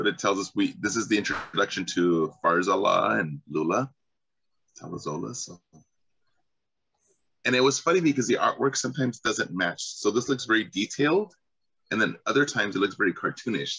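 A man moves along at a fairly quick pace, with a quiet background behind him. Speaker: show host. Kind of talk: casual panel discussion. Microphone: video call.

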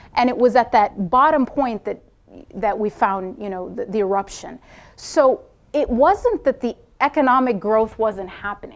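Ordinary pitch variation and a moderate pace from a woman. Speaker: panelist. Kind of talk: panel debate answer. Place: hall. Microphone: lapel.

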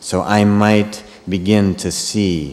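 A soft-spoken man. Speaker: translator reading English versions. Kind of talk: poetry reading of English translations, then a brief spoken introduction. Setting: stage with audience, festival reading. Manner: soft, earnest, reverent; emotional, slow and prayer-like. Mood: calm, measured, lyrical. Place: stage. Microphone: studio mic.

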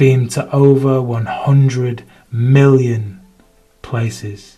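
A man with a Manchester accent talks at a very slow pace. His medium pitch stays in a monotone, flat intonation. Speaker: performance poet. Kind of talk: performance poetry reading.

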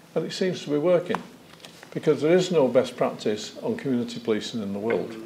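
The voice has a dark, mellow tone. Audible room echo is present. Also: man, medium pitch for a man, lively intonation, fairly quick pace.

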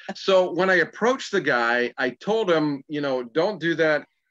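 Against a quiet background, a man with an American accent talks at a fairly high pitch with ordinary pitch variation. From US Midwest. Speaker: panel guest; guest. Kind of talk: panel discussion. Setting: video call. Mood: earnest, reflective. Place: home room. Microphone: video call.

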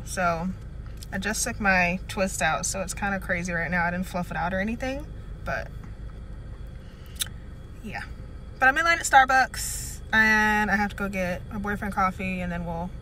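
A woman speaks at a moderate pace, pausing often and at length. The sound is dry with no echo, and there is light background noise. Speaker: vlogger. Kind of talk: casual vlog chat. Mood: relaxed, laid-back. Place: car. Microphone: phone near.

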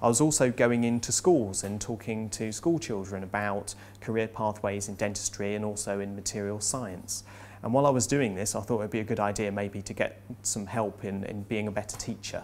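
A man talks at a fairly quick pace in an unremarkable speaking voice. His pitch is fairly low and his intonation fairly even. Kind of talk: interview answer. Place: classroom. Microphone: lapel.

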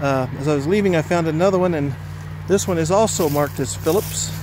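Noticeable background noise runs under a man's voice. He talks at a fairly quick pace, and the sound is dry with no echo. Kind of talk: casual vlog narration. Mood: calm, explanatory. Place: forest. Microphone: phone near.

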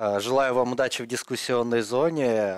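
Recorded with a dry, close sound and no echo, a man speaks at a medium pitch and moderate pace with fairly even intonation. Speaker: conference moderator. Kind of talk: friendly live-stream hosting. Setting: online conference broadcast.

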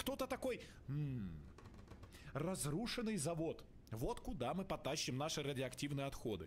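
This man talks at a moderate pace in a fairly high pitch, his voice making big pitch swings.

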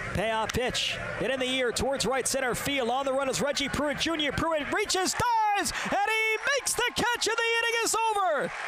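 Over loud background noise, a man raises and projects his voice at an extremely high pitch with very wide pitch swings. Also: moderate pace, dry sound with no echo. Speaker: baseball play-by-play announcer. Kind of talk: live sports commentary, baseball play-by-play. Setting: stadium broadcast, radio call of game. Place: booth.

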